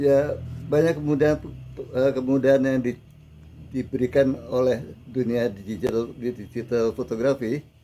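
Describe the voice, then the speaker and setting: At a fairly slow pace, a man speaks in a dark, mellow tone at medium pitch with fairly even intonation. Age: 70s. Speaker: veteran photographer and teacher. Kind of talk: interview.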